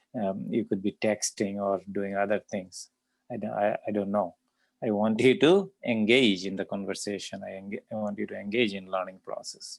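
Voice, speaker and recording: A man with a non-native accent speaks at a moderate pace. The sound is dry and close, with no echo. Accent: foreign. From immigrant, grew up abroad. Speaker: statistics instructor. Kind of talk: lecture. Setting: video call. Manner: halting, many fillers.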